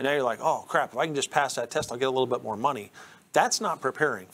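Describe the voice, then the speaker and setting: This is a man's voice. His pitch sits fairly high. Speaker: electrician. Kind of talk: panel discussion. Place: studio.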